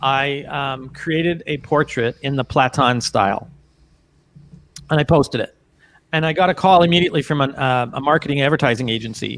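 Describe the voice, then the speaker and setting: Moving at a fairly quick pace, a man with a fairly high pitch and ordinary pitch variation has a plain, everyday voice. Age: 60s. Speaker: portrait photographer. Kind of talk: casual interview chat.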